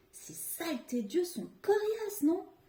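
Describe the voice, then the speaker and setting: The speaker uses a put-on character voice. The delivery is fairly slow. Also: woman, extremely high pitch for a woman. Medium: read story. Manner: offhand, sulky.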